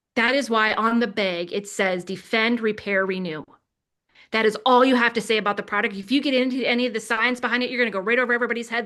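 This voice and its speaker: A woman with an American accent speaks very fast in a bright, sharp, fairly high voice, her delivery animated and passionate against a quiet background. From Wisconsin, US Upper Midwest. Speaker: network marketing team leader. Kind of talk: motivational team training talk. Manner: animated, passionate.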